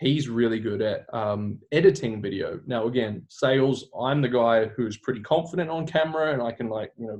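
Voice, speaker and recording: This man speaks with hardly any pauses in an enthusiastic tone. His medium pitch shows ordinary variation. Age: 20s. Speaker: online business owner. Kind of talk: interview. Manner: fast; loud, enthusiastic.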